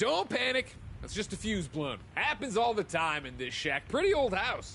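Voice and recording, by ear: A man's put-on character voice, high-pitched with vocal fry, a bright, sharp tone, big pitch swings and a moderate pace.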